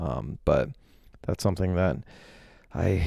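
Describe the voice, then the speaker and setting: Quiet and very deep, a man's dark, mellow voice moves at a moderate pace with ordinary pitch variation on a very clean recording with a silent background. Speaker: personal finance youtuber. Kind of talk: portfolio review vlog. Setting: hotel room. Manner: hesitant, many ums.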